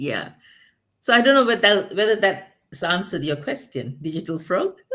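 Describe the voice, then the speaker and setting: A woman with a non-native accent speaks at a moderate pace and a medium pitch. Her tone is bright and sharp, with very wide pitch swings. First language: not English. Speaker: guest on talk show. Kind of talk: casual chat. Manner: halting.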